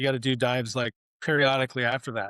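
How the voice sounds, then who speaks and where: A man speaks in a West Coast US accent at a medium pitch. His intonation is monotone and flat, and the sound is dry and close with no echo. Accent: General American, West Coast. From Oregon, US Pacific Northwest. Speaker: war veteran. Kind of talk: interview testimony. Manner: casual, repetitive with restarts.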